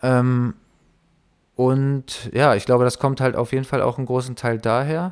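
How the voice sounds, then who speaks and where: Very clean, with a silent background, this recording has a man speaking at medium pitch and a moderate pace. He has an ordinary speaking voice. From Bielefeld, Germany. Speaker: rapper. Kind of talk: casual interview.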